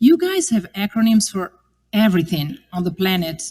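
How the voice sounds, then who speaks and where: A woman speaks in an Italian accent. Her voice is somewhat breathy. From Italy. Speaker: religious sister giving a parish mission. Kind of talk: parish mission talk.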